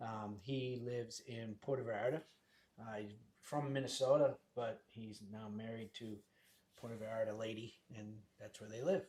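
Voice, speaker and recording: A man talks in a dark, mellow tone with fairly even intonation. His loudness swings widely, and he leaves long, frequent pauses. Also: medium pitch for a man, moderate pace. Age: 60s. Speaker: real estate agent. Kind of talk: casual chat.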